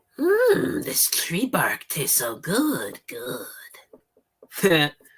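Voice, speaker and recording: The speaker uses a put-on character voice. Delivery is very slow. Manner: speech impediment.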